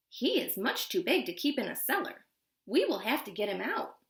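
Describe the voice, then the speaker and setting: Here a woman performs a put-on character voice at high pitch. Her pitch swings very widely, and she keeps a moderate pace. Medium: read story.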